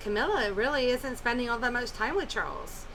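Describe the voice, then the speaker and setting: A woman speaks loudly in a high voice. Audible room echo and noticeable background noise are present. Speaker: tarot reader. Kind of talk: tarot reading monologue. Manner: hesitant, many fillers. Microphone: poor microphone.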